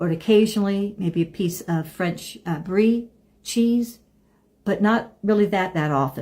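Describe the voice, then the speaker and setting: A woman speaks at a fairly slow pace in a dark, mellow tone that is somewhat breathy. The recording is very clean, with a silent background. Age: 70s. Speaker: lifestyle vlogger. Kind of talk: casual monologue to camera. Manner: halting.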